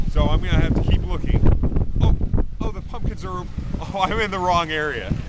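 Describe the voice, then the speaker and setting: Amid loud background noise, a man speaks at a fairly quick pace in a dry sound with no echo. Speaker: home video host. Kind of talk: casual comic vlog chat. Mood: playful, mock-serious. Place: farm. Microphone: phone near.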